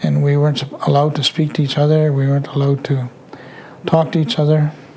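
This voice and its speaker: Over noticeable background noise, a man speaks at a fairly high pitch and a fairly quick pace. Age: 60s. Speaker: residential school survivor. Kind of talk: testimony. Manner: halting.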